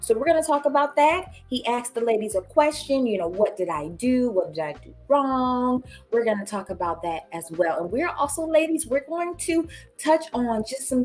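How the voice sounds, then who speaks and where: A woman's high voice with very wide pitch swings, set against music in the background. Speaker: relationship livestream host. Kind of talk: casual livestream chat.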